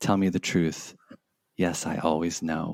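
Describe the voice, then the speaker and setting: A man with an American accent and very deep, low pitch speaks at a fairly slow pace in a monotone, flat intonation, the sound dry and close with no echo. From United States. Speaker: podcast co-host. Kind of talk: casual chat.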